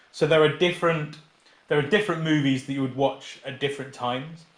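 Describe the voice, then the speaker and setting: A man's fairly high voice with fairly even intonation, noticeable background noise and audible room echo. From England, Peterborough area. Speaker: teacher. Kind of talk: casual chat.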